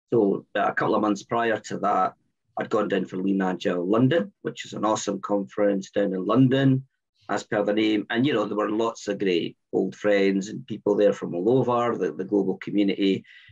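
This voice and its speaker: Fairly low-pitched male voice at a moderate pace, with ordinary pitch variation and a quiet background. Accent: Scottish. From Scotland, Edinburgh. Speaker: engineering lead and agile coach. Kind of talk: casual chat. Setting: video call. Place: home room. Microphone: headset.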